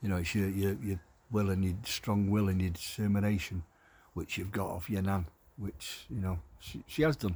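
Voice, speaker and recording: In a northern English accent, a man with a very deep, low pitch speaks somewhat breathily at a fairly quick pace with fairly even intonation, on a very clean recording with a silent background. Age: old. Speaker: carer for his wife, video diarist. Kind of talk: casual video diary monologue. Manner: halting.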